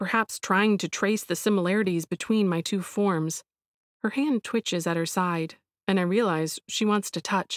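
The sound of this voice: Over a quiet background, someone reads in an unforced reading voice.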